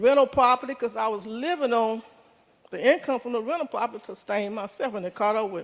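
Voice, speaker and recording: With a Louisiana accent, the speech races along at a very fast pace over a very clean recording with a silent background. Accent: Southern US (Louisiana). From US South, Baton Rouge, Louisiana. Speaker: member giving a testimony. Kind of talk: testimony.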